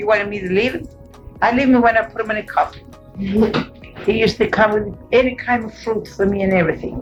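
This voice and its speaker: Music plays in the background as a woman speaks at a moderate pace in a fairly high pitch with ordinary pitch variation. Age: 80s+. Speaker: grandmother interviewee. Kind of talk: family oral history interview.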